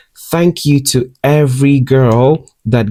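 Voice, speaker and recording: The man's voice has a dark, mellow tone. The sound is dry and close, with no echo. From Ghana. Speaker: beauty and lifestyle vlogger. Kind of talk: personal storytelling vlog. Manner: animated.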